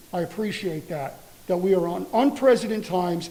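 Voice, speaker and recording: With lively intonation and a high pitch, a man talks at a fairly quick pace. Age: 60s. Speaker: public commenter, school bus driver. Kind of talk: public comment at board meeting. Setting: school board meeting.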